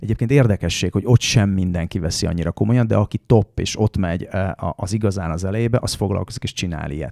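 A man speaks very fast in a dark, mellow tone with a fairly low pitch and ordinary pitch variation. The sound is dry and close, with no echo. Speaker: rally driver. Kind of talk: casual chat. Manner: halting.

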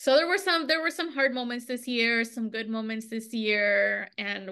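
Using a normal speaking voice, a woman speaks at a moderate pace with fairly high pitch and lively intonation. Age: 30s. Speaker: podcast co-host. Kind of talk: casual chat.

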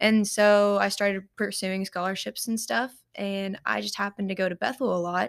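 A woman's medium-pitched voice with a Kentucky accent, flat and monotone, at a moderate pace with hardly any pauses, on a very clean recording with a silent background. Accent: Kentucky Southern US. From Paducah, Kentucky. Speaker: ministry intern and college student. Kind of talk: casual interview.

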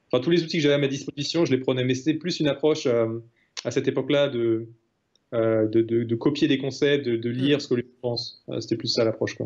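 Speaking at a fairly quick pace, a man has a normal speaking voice of medium pitch and fairly even intonation. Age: 20s. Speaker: retired professional poker player. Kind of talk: interview.

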